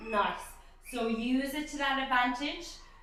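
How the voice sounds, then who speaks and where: In a high pitch, a woman speaks at a fairly slow pace with an upbeat tone and ordinary pitch variation. Audible room echo surrounds her. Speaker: pilates instructor. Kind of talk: guided workout instruction. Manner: encouraging, upbeat.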